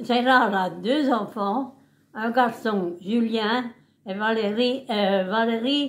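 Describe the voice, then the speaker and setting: Her pace is very slow and her pitch fairly high for a woman. The intonation stays fairly even. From eastern France, Haute-Saône. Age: 90s. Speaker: great-grandmother interviewed by family. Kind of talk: casual family interview.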